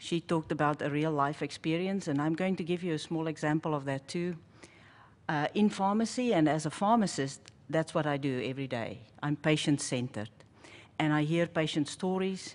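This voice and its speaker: With a South African accent, a woman with a very deep, low pitch speaks at a moderate pace with ordinary pitch variation. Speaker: pharmacist. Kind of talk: panel presentation.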